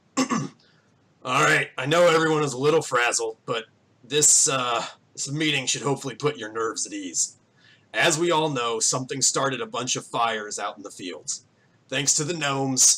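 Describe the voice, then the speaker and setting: Putting on a gruff character voice, a man speaks at a medium pitch and a moderate pace with ordinary pitch variation. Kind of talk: plain, rural, calming.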